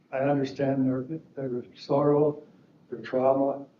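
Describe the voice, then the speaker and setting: A man speaks at a fairly slow pace with a fairly high pitch, and the room echo is audible. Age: 70s. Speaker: defendant in a civil trial, serving a prison sentence. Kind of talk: courtroom statement. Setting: courtroom.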